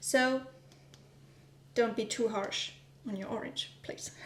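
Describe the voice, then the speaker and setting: A woman with a German accent speaks at a fairly high pitch and a fairly slow pace, with noticeable background noise and audible room echo. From Germany. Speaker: vlogger. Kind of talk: casual vlog narration while baking. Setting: home kitchen. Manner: hesitant, many fillers.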